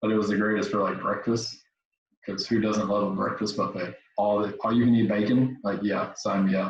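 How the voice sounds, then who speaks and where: With a West Tennessee accent, a man speaks at a moderate pace in a fairly low pitch. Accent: West Tennessee Southern US. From Tennessee (Jackson area, West Tennessee). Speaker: podcast host, veteran. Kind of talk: casual chat. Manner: animated.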